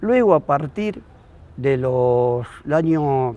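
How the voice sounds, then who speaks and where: Here a man speaks at a fairly high pitch in a dark, mellow tone. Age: 60s. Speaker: basketball coach. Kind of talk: documentary interview.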